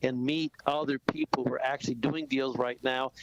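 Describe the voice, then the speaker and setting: Over noticeable background noise, a man talks fairly quickly at a fairly high pitch. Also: dry, close sound with no echo. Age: 60s. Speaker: real estate investor. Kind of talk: radio interview. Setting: radio studio. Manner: animated.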